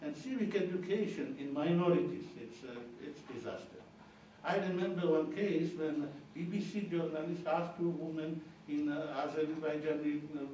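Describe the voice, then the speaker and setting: A man with a Georgian accent, at a moderate pace with ordinary pitch variation, in a room with audible echo and noticeable background noise. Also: fairly high pitch for a man. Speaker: political analyst and democracy fellow. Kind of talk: lecture. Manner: halting.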